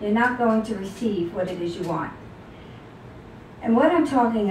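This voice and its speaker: With an American accent, a woman speaks at a medium pitch and a moderate pace, her intonation lively and her pauses long and frequent. Audible room echo and noticeable background noise surround her. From New York City. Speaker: author. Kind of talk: talk to audience. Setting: book signing with audience.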